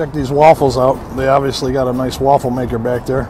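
Fairly quick, monotone and flat speech from a man, dry with no echo, with music in the background. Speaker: food reviewer. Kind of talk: casual vlog chat. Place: street. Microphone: phone near.

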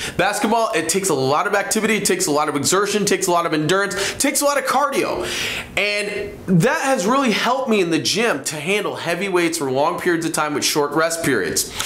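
Talking at a very fast pace, a man is heard with audible room echo and light background noise. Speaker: presenter. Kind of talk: motivational talk to camera. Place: studio.

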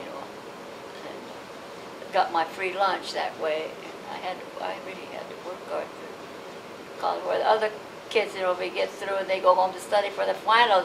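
A woman at a moderate pace with an American accent, over noticeable background noise. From Los Angeles, California. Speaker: oral history interviewee, Japanese American. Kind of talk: oral history interview answer. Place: home room.

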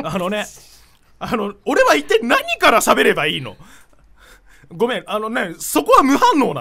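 A man at a moderate pace, with big swings in loudness. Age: 20s. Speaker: internet radio co-host, voice actor. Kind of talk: casual chat. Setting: studio, live-streamed recording. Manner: animated. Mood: relaxed, joking. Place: studio. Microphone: studio mic.

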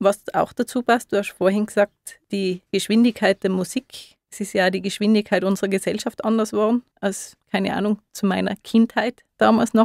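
A woman speaks at a medium pitch and moderate pace, with hardly any pauses and a monotone, flat intonation. The sound is dry and close with no echo, on a very clean recording with a silent background. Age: 30s. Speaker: osteopath. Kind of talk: radio interview. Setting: radio studio.

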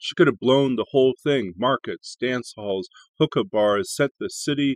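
A man speaks at a moderate pace with ordinary pitch variation. The sound is dry with no echo, and the background is quiet. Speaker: poetry channel host and reader. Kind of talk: poem reading. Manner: measured, expressive reading aloud. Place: home room. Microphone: webcam.

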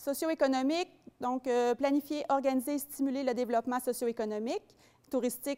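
The tone is dark and mellow, at a moderate pace. The background is quiet. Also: woman. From Quebec. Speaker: community development officer; presenter. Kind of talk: public presentation. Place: hall. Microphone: handheld.

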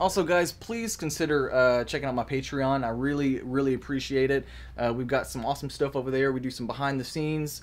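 A man is speaking at a moderate pace. His intonation is fairly even. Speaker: drone hobby vlogger. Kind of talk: casual vlog chat. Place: workshop. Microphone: phone near.

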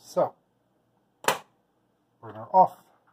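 Over light background noise, a soft-spoken man talks at a fairly slow pace. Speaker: home plant keeper. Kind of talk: casual narration of home experiment. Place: kitchen. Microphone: phone near.

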